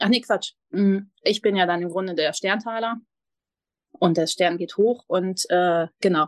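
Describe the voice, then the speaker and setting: With long, frequent pauses, a woman talks at a fairly slow pace and medium pitch, showing ordinary pitch variation in a dry, close sound with no echo. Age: 30s. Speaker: mindfulness coach. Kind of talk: podcast interview.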